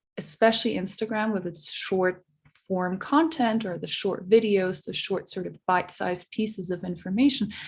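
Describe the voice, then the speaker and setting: A woman with a non-native accent speaks at a medium pitch in a somewhat breathy voice. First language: not English. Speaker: social media researcher. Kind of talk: podcast interview.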